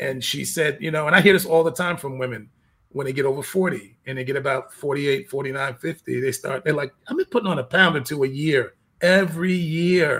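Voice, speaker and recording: A man with an ordinary speaking voice talks at a fairly quick pace, fairly high in pitch, with ordinary pitch variation. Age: 50s. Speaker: personal trainer and fitness coach. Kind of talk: casual chat.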